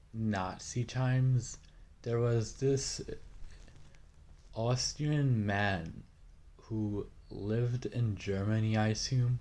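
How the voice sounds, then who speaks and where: This man's breathy voice sits at a medium pitch, moving at a very slow pace with long, frequent pauses and fairly even intonation. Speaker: youtuber explaining a topic. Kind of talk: informal educational talk. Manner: halting, many fillers.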